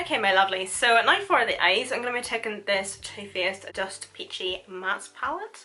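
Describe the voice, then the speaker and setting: A woman's fairly high, animated voice, hardly any pauses, noticeable background noise behind it. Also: lively intonation, moderate pace. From Northern Ireland. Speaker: beauty vlogger. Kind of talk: makeup tutorial; casual chat to viewers. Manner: chatty, animated.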